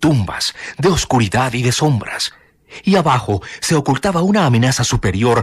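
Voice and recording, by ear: Intonation stays lively as someone reads aloud in a natural voice.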